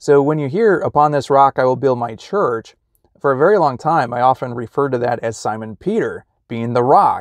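A man talks at a moderate pace. The background is quiet and the sound is dry, with no echo. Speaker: religious vlogger. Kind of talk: casual vlog chat. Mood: reflective, friendly. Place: car. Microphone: phone near.

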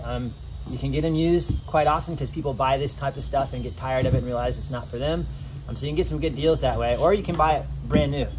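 A man rattles off his words at a very fast pace while noticeable background noise runs underneath. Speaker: photographer reviewing a kayak. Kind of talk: casual vlog chat. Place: waterside. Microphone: camera far.

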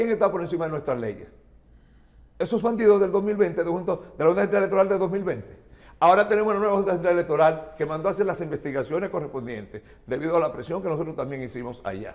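A man talks at a very fast pace with lively intonation. His pitch is high. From Dominican Republic. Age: 60s. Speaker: chemist and politician; politician. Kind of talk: TV interview. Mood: indignant, angry. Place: studio. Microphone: lapel.

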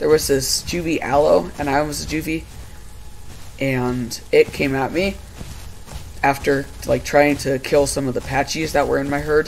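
A man talks fairly slowly against noticeable background noise. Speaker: gaming YouTuber. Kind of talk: casual gameplay chat. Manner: casual, laid-back.

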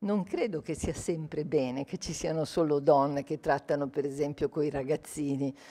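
A woman speaks at a fairly slow pace. Her pitch is very deep and low, with a dark, mellow tone. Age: old. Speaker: sociologist; guest. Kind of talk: lecture. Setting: stage with audience. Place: hall. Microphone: podium.

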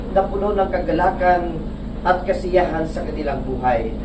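A man's solemn, moderately paced voice against noticeable background noise. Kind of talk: fervent prayer. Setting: outdoors at ship blessing. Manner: solemn, earnest, imploring.

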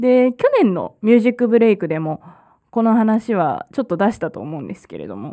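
Over a quiet background, a woman with a dark, mellow tone speaks at a fairly quick pace, her intonation lively and her loudness swinging widely. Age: 20s. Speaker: community radio host; radio host. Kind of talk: live radio talk. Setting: radio studio. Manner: hesitant with frequent fillers; laughs often. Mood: relaxed, friendly. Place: studio. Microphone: studio mic.

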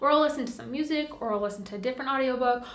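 Audible room echo fills the space. In it, a woman's voice is heard. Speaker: lifestyle vlogger. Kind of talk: casual vlog monologue. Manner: chatty, relaxed. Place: home room.

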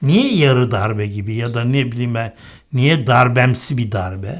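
In a very clean recording with a silent background, a man speaks very slowly at a medium pitch, somewhat breathy, with ordinary pitch variation. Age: 60s. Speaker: political commentator. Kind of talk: political commentary monologue.

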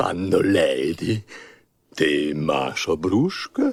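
A cartoonish character voice at a very slow pace. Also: man, fairly low pitch for a man. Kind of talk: film and cartoon dubbing.

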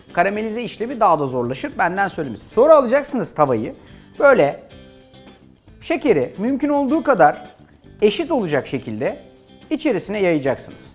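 A man's high-pitched voice at a fairly quick pace, with faint music in the background. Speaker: TV cooking show host. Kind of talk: cooking tutorial. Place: studio. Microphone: lapel.

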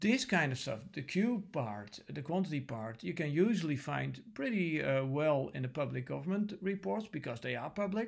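Against a quiet background, a man with a Dutch accent and a fairly high pitch speaks at a moderate pace with very wide pitch swings and hardly any pauses. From Netherlands. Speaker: lecturer; university lecturer. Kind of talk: lecture. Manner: hesitant, many filler sounds. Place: home room. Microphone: webcam.

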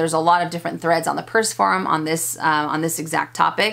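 A woman's fairly low voice, bright and sharp in tone, at a very fast pace. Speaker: fashion vlogger. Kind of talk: casual vlog chat, Q&A answers. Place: home room.

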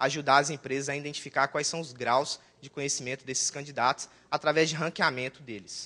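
A man's bright, sharp tone at a fairly high pitch, fairly quick, with ordinary pitch variation. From Brazil, Governador Valadares, Minas Gerais; Minas Gerais, Brazil. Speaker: database consultant and conference speaker; conference presenter. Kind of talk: technical conference talk. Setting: conference room with audience. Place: hall.

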